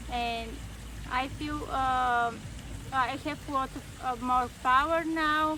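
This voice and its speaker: A woman with a non-native accent speaks very slowly in a high, raised, projected voice, pausing long and often. Her intonation is flat and monotone, and room echo is audible. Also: bright, sharp tone. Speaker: workshop participant. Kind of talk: testimony. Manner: halting, many fillers.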